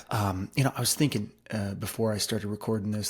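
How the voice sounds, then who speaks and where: Quiet and very fast, a man talks at a fairly low pitch with fairly even intonation. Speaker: real estate agent. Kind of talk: market update talk to camera. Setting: at home, early morning. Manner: quiet, hushed; casual with fillers.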